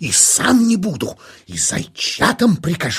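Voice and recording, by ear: A woman puts on a character voice with a husky, rough edge and vocal fry. Her pitch swings very widely. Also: fairly low pitch for a woman, fairly slow pace.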